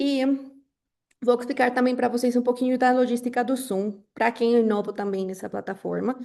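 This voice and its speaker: A woman talks with a Colombian accent in a dark, mellow tone. Her pace is moderate, her pitch variation ordinary, and the background quiet. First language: Spanish (speaking Portuguese). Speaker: webinar moderator, marketing professional. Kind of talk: webinar moderation. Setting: online webinar on Zoom. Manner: frequent filler hesitations.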